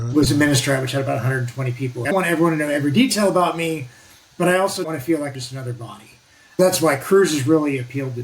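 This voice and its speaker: At a very fast pace, a man talks in a fairly high pitch with ordinary pitch variation, and noticeable background noise is audible. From US Pacific Northwest, northwest Oregon. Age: 60s. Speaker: navy veteran and nuclear energy advocate. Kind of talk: casual interview. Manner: talkative, loose chatty delivery.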